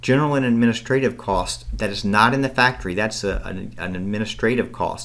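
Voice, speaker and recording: Room echo is audible around the speech. Its intonation remains fairly level. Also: man. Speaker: accounting instructor. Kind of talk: recorded lecture tutorial. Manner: fast.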